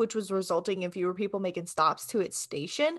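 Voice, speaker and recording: A woman speaks against a quiet background. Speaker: podcast co-host. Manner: word stumbles.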